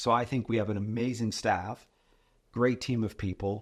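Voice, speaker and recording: A man speaks at a moderate pace with a fairly low pitch against a quiet background. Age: 60s. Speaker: financial advisor and mentor. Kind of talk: casual chat.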